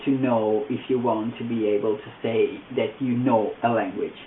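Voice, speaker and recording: A man speaks in an Italian accent at a moderate pace with fairly even intonation. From Italy. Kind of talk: casual talk to camera.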